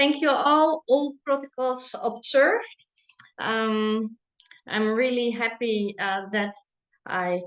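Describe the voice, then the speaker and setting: A woman's very slow speech in a Dutch accent, with lively intonation. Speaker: business owner and chocolate maker. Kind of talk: presentation. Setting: online webinar. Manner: halting, many fillers.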